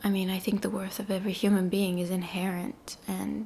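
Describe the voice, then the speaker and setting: Soft-spoken and somewhat breathy, a woman talks at a medium pitch and a moderate pace in a monotone, flat intonation. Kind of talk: soft spoken ASMR ramble to camera. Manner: soft-spoken, reflective.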